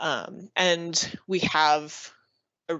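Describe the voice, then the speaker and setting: Her voice sits very deep and low, with fairly even intonation throughout. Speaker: overdose prevention presenter. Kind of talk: webinar Q&A answer. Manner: fast.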